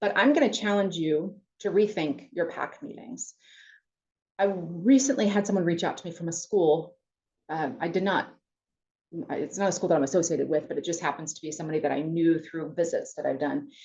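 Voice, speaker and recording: Someone with an American accent talks at a fairly quick pace with lively intonation and big swings in loudness. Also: woman, fairly low pitch for a woman. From US Midwest. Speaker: college campus president. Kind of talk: webinar presentation. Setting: webinar. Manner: fast; animated.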